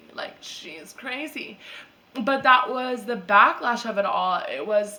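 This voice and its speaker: A woman with fairly high pitch, lively intonation, big swings in loudness, and a very slow pace, amid audible room echo and noticeable background noise. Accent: American. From US Midwest, Chicago suburbs. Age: 20s. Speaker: vlogger. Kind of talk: personal vlog monologue. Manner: casual, filler-heavy.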